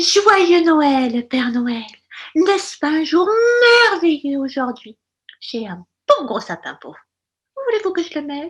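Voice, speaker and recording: This is a put-on character voice set at a high pitch. It moves at a fairly slow pace. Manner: honeyed, sugary.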